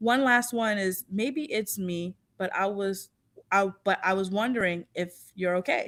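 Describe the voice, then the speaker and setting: A woman with a New York accent at a medium pitch, ordinary pitch variation and a fairly slow pace, on a very clean recording with a silent background. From Long Island, New York. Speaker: podcast co-host. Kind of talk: casual chat. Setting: live stream.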